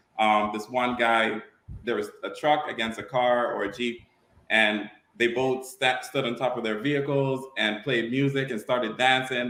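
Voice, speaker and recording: A man with an American accent talks in a monotone, flat intonation. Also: medium pitch for a man, moderate pace. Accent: Virgin Islands Caribbean, comes out at times. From St. Thomas, US Virgin Islands. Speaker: car show promoter. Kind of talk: podcast interview.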